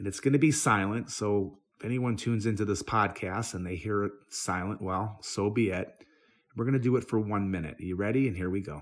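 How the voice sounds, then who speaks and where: An unremarkable speaking voice from a man, fairly low in pitch, with ordinary pitch variation and a fairly quick pace. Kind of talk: guided meditation. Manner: gentle, instructive, paced and hushed.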